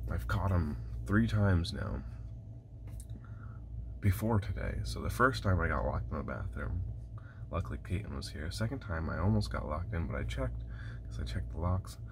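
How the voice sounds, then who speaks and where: Noticeable background noise sits under this recording. A man talks at a fairly quick pace in a very deep, low pitch. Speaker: bus-life vlogger. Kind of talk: casual vlog chat. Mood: frustrated, wry amusement. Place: bathroom. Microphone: phone near.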